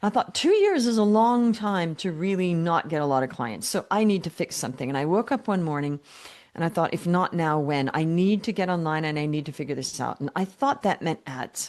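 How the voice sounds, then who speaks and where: Her pitch fairly low, a woman talks in an ordinary speaking voice at a fairly quick pace with lively intonation. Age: 60s. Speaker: business coach. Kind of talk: podcast interview.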